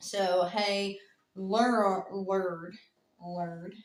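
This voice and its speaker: A woman speaks at a medium pitch in a flat, monotone delivery. Her voice carries audible room echo. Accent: Southern US. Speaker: true crime podcast co-host. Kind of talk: casual storytelling chat.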